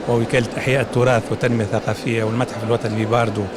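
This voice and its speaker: A man speaks with a Tunisian accent at a medium pitch. Noticeable background noise is present. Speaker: museum official. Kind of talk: interview.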